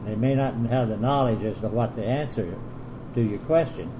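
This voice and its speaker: Amid noticeable background noise and audible room echo, a man talks at a moderate pace in a medium pitch with fairly even intonation. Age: 80s+. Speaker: military retiree representative at a base club meeting. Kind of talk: meeting feedback, complaints.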